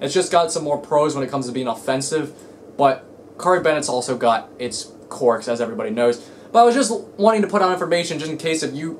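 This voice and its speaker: Against noticeable background noise, a man with a fairly high pitch rattles along very fast with lively intonation. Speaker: card game YouTuber. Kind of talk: casual vlog rant. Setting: home, in own room. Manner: halting, stuttering.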